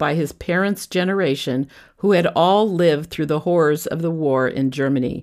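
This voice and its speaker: A woman with an unremarkable speaking voice talks at a moderate pace, her fairly low pitch carried by lively intonation. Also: very clean recording, silent background. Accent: American. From California. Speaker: podcaster telling her life story. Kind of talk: scripted narration.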